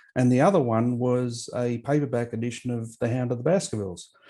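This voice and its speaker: A man with an Australian accent, a dark, mellow tone, medium pitch and a moderate pace. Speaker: author and historian. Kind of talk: interview.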